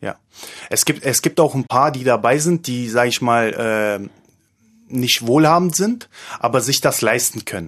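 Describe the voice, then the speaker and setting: A man speaks at medium pitch with ordinary pitch variation. His pace is fairly slow, broken by long, frequent pauses. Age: 30s. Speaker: male escort. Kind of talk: interview. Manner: halting.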